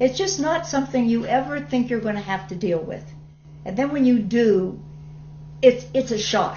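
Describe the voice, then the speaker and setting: Amid noticeable background noise, a woman with a fairly high pitch talks at a moderate pace, her pitch swinging very widely between long, frequent pauses. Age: 70s. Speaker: documentary interviewee with emphysema. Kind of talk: testimony.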